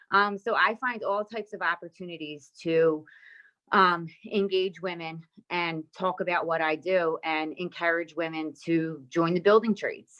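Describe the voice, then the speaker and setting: A normal speaking voice from a woman, fairly low in pitch, fairly slow, with fairly even intonation. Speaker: painter in the building trades, recruiter of women. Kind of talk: conference panel talk.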